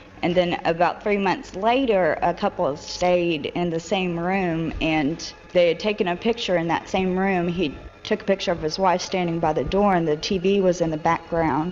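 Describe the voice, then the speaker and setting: A fairly low woman's voice with fairly even intonation and hardly any pauses, over music in the background. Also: moderate pace. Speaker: hotel sales manager. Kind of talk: interview answer.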